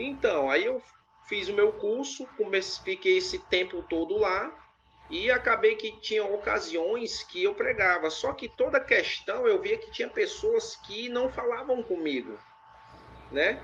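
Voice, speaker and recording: The speaker has a strong northeastern Brazilian accent and talks at a fairly slow pace. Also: man. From Ceará, Brazil. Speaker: interviewee, former preacher. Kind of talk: interview. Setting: live stream.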